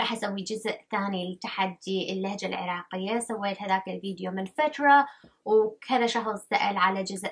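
A woman with an Iraqi accent, medium pitch, fairly even intonation and a moderate pace. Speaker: channel host. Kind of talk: casual talk to camera. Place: home room.

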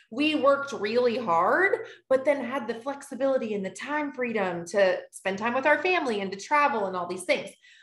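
A woman speaks in a high pitch at a moderate pace. Audible room echo surrounds her voice. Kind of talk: presentation to an online audience. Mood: warm, personal story. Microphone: video call.

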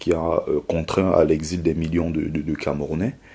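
A man with a very deep, low pitch speaks with fairly even intonation. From Cameroon. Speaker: former migrant, author. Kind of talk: testimony. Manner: halting. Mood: grave, emotional retelling. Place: studio.

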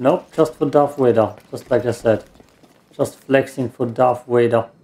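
In a German accent, a man with a medium pitch speaks at a fairly slow pace with fairly even intonation. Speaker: gaming YouTuber. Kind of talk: let's play gameplay commentary. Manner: frequent laughter.

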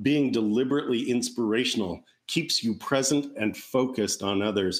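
Over a quiet background, the speech moves at a moderate pace with ordinary pitch variation. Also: man. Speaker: panel moderator and speaker at a dental wellness event. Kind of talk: motivational presentation and panel moderation. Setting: virtual event. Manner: animated. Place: home room. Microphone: webcam.

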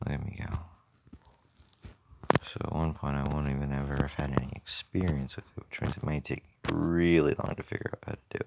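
Soft-spoken and very deep in pitch, a man moves at a fairly quick pace with fairly even intonation and long, frequent pauses. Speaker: gaming channel host. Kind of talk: gameplay commentary.

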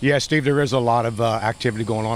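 A man at a fairly quick pace, dry sound with no echo, light background noise. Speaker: interviewee. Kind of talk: interview answer. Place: street. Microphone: handheld.

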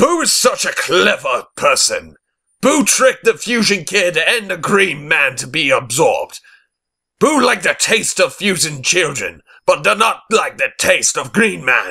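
Using a put-on character voice, a man delivers a menacing tone at a high pitch, raised and projected, at a moderate pace. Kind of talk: fan voice-over audition. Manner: menacing, gloating.

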